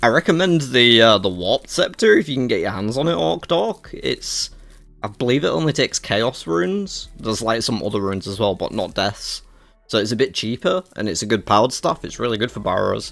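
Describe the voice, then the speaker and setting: A man's medium-pitched voice with a British accent, very wide pitch swings and a fairly quick pace. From Britain. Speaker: gaming streamer. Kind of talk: livestream reaction chat. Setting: livestream.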